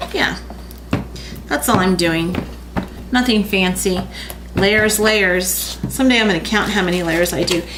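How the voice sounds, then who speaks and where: Mumbling at a fairly slow pace with long, frequent pauses, a woman of medium pitch keeps a very even loudness amid audible room echo and noticeable background noise. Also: ordinary pitch variation. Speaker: art teacher. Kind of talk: tutorial.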